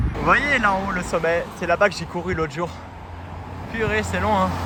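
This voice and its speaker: Fairly high male voice at a fairly quick pace, over noticeable background noise. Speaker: vlogger, language student. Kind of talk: casual vlog. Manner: loud.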